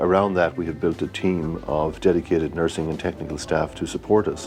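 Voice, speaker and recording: A man's very deep, low voice with an Irish accent and fairly even intonation, music in the background. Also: fairly quick pace. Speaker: cardiac electrophysiologist. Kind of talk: promotional interview.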